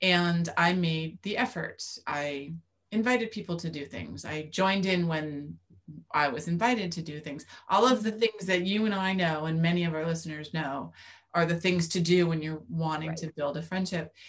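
A woman speaks at a moderate pace, somewhat breathy, with a fairly low pitch. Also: ordinary pitch variation. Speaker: podcast co-host. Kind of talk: casual chat. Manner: mellow, relaxed.

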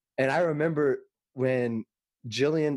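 An ordinary speaking voice from a man, fairly high in pitch with ordinary pitch variation, against a quiet background. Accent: American. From Texas (Fort Worth). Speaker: musical theater actor and singer. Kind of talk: casual interview chat.

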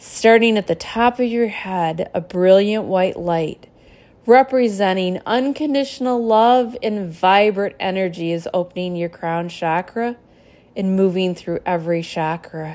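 A woman with a medium pitch speaks in a normal speaking voice. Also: ordinary pitch variation. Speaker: spiritual teacher and podcast host. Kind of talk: guided meditation, calm spoken instruction. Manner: soothing, slow, gentle and reassuring; earnest, devotional.

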